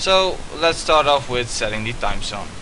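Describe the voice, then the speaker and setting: Audible room echo and noticeable background noise surround a man with a Dutch accent. He keeps a moderate pace and ordinary pitch variation. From Netherlands. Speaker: student. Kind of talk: tutorial. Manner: hesitant, many fillers.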